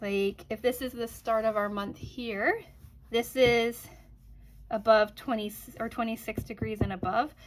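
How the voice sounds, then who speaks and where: Speaking at a moderate pace, a woman uses a fairly high pitch. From Canada. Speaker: quilting YouTuber. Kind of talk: casual vlog update. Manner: casual, filler-heavy.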